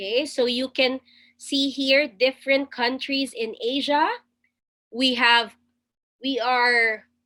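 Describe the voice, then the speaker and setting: Projecting a raised voice with a bright, sharp tone, a woman with a Filipino accent talks at a very slow pace in a high pitch, her intonation fairly even and her pauses long and frequent. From Philippines. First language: Tagalog. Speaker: webinar presenter. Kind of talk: webinar presentation. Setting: video call.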